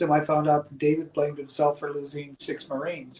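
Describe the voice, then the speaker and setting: A man with a fairly high pitch speaks at a very fast pace. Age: 60s. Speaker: podcast host. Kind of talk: casual chat.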